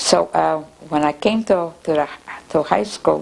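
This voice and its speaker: A woman's very deep, low voice, very slow, with very wide pitch swings and noticeable background noise. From Russia. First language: Russian. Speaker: oral history interviewee. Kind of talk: oral history interview. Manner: halting, frequent repetitions.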